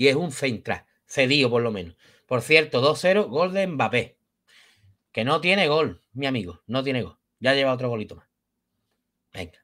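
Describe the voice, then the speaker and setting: With long, frequent pauses and a fairly slow pace, a man speaks in a bright, sharp tone, his intonation lively and his loudness swinging widely over a quiet background. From Spain. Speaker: football youtuber. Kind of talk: post-match football talk. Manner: animated. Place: home room. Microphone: webcam.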